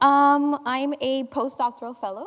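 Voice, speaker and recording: A woman talks while clearly audible noise runs behind her. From Dominican Republic. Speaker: postdoctoral fellow and instructor. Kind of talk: panel discussion.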